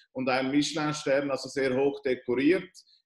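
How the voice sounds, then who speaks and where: A man's voice carries audible room echo. The background is quiet. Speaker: interviewer. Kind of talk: interview question. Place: home room. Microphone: video call.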